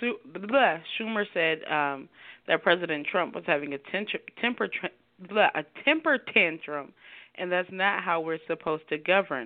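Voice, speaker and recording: With a normal speaking voice, a woman talks at a fairly slow pace, her fairly low pitch set off by lively intonation. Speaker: podcast host. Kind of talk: casual chat among friends. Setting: phone call with co-hosts.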